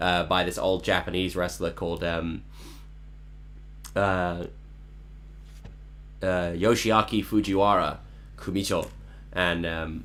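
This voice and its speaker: Speech in a Cantonese accent comes at a fairly slow pace with long, frequent pauses and fairly even intonation. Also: man, very deep, low pitch for a man. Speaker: songwriter live streamer. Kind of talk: casual chat. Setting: online live stream.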